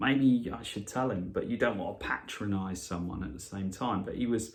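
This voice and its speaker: With a Norfolk accent, a man talks using lively intonation. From Norfolk, England. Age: 40s. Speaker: radio presenter. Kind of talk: casual podcast talk.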